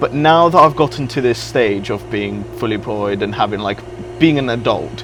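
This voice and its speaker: Music plays in the background as a speaker with a British accent goes at a moderate pace with ordinary pitch variation. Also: man, fairly low pitch for a man. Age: young. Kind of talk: interview answer.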